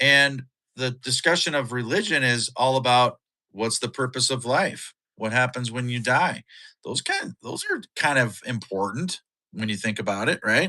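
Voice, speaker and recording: In a Minnesota accent, a man speaks at a moderate pace with a medium pitch, a bright, sharp, animated tone and ordinary pitch variation. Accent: Upper Midwest (Minnesota) American. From Minnesota, US. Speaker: podcast co-host, live streamer. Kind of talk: casual live-stream chat. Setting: live stream.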